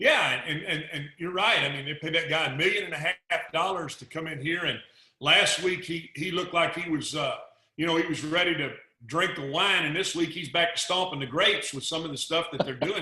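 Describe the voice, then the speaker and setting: A man with a Texas accent speaks at a fairly quick pace in a high voice. His intonation is fairly even, and room echo can be heard. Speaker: football analyst. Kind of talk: casual chat. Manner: halting, repeats words.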